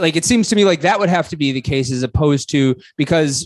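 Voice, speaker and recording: A man with an American accent talks at a fairly quick pace in a normal speaking voice, with ordinary pitch variation and a dry, close sound with no echo. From Buffalo, New York, US. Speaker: podcast host. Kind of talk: interview.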